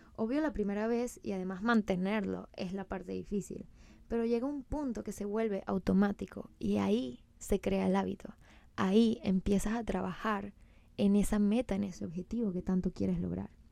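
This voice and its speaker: A woman with a Venezuelan accent speaks at a moderate pace in a medium pitch, her dark, mellow tone showing ordinary pitch variation on a very clean recording with a silent background. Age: 20s. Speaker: podcast host and personal trainer. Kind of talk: casual solo podcast monologue.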